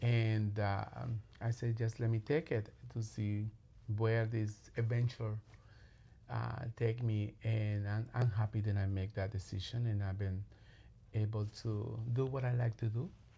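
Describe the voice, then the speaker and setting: Somewhat breathy and fairly low-pitched, a man speaks at a fairly slow pace in a strong Latin American accent, with a dark, mellow tone and monotone, flat intonation. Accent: heavy Latin. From Colombia. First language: Spanish. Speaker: clinical social worker. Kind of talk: podcast interview. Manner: halting.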